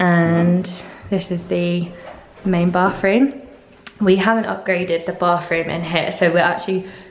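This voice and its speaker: At a fairly slow pace, a woman talks in an ordinary speaking voice, fairly low in pitch with fairly even intonation, over light background noise. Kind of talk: casual vlog chat. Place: empty room. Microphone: phone near.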